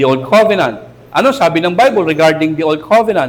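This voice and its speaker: A fairly high-pitched man with vocal fry at a moderate pace, with audible room echo. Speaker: pastor. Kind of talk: sermon. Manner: animated.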